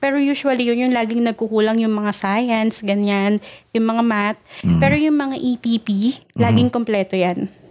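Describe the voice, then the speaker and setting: With a normal speaking voice, a woman talks at a fairly quick pace and a fairly high pitch. Her intonation is fairly even. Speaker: podcast co-host. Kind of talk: casual chat.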